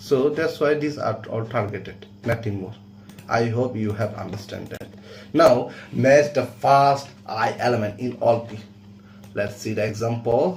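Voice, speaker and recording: A man at a medium pitch and fairly slow pace, with ordinary pitch variation, big swings in loudness, and audible room echo. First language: not English. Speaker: coding teacher. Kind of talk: tutorial.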